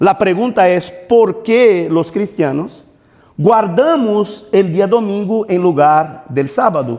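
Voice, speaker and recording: A man with a Portuguese accent speaks at a very slow pace in a high pitch, with ordinary pitch variation. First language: Portuguese (speaking Spanish). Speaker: pastor. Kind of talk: sermon.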